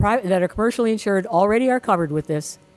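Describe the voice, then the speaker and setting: Speech rushes by at a very fast pace. Noticeable background noise sits behind it. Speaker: state legislator. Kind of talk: public forum remarks.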